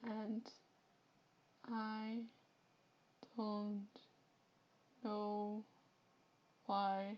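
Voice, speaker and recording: A woman with a Flemish accent speaks at a fairly high pitch. Her tone is dark and mellow, and somewhat breathy. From Flanders, Belgium. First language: Dutch (Flemish). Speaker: Twitch streamer. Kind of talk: live game stream chat. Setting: live stream.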